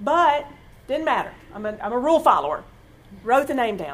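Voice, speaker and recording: A woman with a high pitch speaks fairly quickly, her intonation lively. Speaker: church speaker giving testimony. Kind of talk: testimony.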